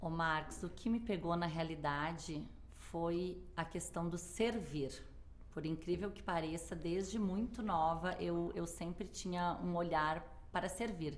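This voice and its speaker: A woman's fairly low voice with vocal fry in a southern Brazilian accent, fairly slow and fairly even in intonation, with audible room echo. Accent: gaúcho. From southern Brazil, Porto Alegre. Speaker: hotel manager. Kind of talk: interview. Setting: studio.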